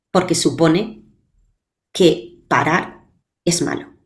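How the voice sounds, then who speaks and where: This woman's fairly low voice carries audible room echo. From Spain, Valencia. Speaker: public speaking coach. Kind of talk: interview.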